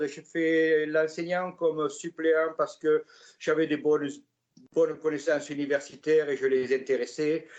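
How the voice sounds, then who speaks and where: Speaking at a fairly slow pace, a man with a fairly high pitch keeps his intonation fairly even. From southwestern France, Gascony near Pau. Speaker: artist, retired tradesman. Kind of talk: interview, life story. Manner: hesitant, many fillers.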